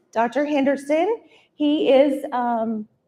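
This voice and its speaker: A woman with a high pitch talks at a very slow pace. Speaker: university communications director. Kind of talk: event welcome address. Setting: stage with audience, live streamed. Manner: soft-spoken.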